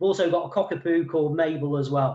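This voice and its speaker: At a moderate pace, a man with a slight East Midlands accent speaks in a fairly high pitch with fairly even intonation. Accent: slight East Midlands twang. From England, Mansfield, Nottinghamshire. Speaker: wellbeing consultant. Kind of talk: webinar presentation. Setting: video call. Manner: hesitant, many fillers.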